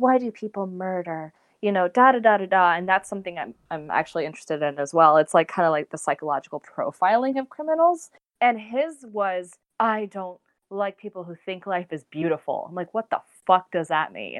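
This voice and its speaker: With an unremarkable speaking voice at medium pitch, a woman talks at a fairly quick pace, her intonation lively and her loudness swinging widely. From Texas. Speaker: podcast guest. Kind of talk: casual chat.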